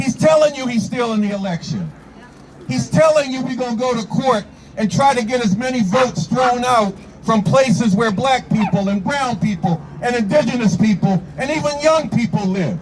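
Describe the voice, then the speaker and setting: A man in an American accent speaks with a high pitch and lively intonation. His pace is moderate, and background noise is noticeable. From New York. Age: 70s. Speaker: activist. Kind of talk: protest speech. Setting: outdoor protest rally. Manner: animated.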